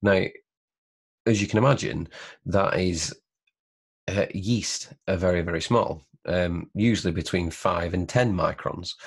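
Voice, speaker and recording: A somewhat breathy man with a very deep, low pitch and ordinary pitch variation, against a quiet background. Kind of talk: tutorial. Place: home room. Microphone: webcam.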